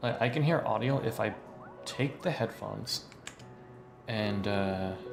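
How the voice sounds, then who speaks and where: Over music in the background, a man talks with a fairly low pitch and ordinary pitch variation. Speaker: voice actor. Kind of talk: casual livestream talk while gaming.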